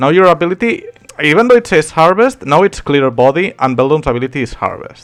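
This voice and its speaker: Backed by music, a man talks very fast in a high voice with very wide pitch swings. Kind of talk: game tutorial talk. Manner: casual.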